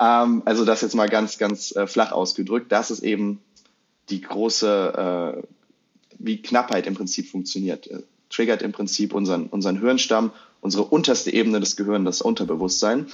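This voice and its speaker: A man talks at a moderate pace with a fairly low pitch. It is an ordinary speaking voice with fairly even intonation. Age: 20s. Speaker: marketing psychology content creator. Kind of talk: casual interview.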